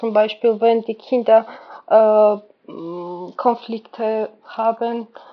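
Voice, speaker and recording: Very slowly and with long, frequent pauses, a woman speaks at a fairly high pitch in a monotone, flat intonation. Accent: Georgian. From Georgia. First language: Georgian (speaking German). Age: 20s. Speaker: volunteer kindergarten worker. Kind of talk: casual interview. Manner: halting, many fillers.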